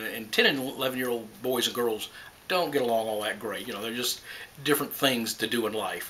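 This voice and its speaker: Noticeable background noise sits behind a man talking at a very fast pace. His medium-pitched voice keeps fairly even intonation. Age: 60s. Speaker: grandfather being interviewed. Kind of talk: interview.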